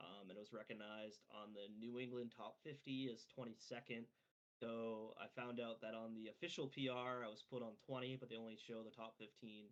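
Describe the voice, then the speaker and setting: A man with a Maine accent speaks with monotone, flat intonation. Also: medium pitch for a man, fairly quick pace. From Maine, Bangor area. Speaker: esports player. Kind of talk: podcast interview. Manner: filler-heavy casual speech.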